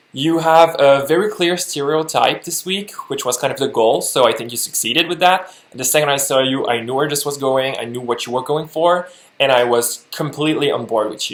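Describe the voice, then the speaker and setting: A man speaks with a French Canadian accent at a fairly quick pace, barely pausing at all. His pitch is fairly high with ordinary variation, and there is noticeable background noise. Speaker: lip sync competition judge. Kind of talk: video critique.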